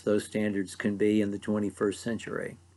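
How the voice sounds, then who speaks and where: Against a quiet background, a man speaks with an American accent. His pitch is fairly low. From US, mid-Ohio Valley. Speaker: preacher. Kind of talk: bible teaching talk.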